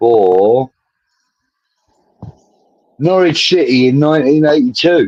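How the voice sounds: The speaker is a man. His pitch rises and falls in an ordinary way. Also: slightly mellow tone.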